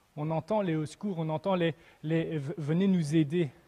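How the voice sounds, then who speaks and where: The voice has a dark, mellow tone and a slight Belgian accent, moving at a fairly slow pace. The sound is dry and close, with no echo. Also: man. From Belgium. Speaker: preacher. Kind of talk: sermon. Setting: church, livestreamed without audience. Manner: halting, with repetitions and fillers.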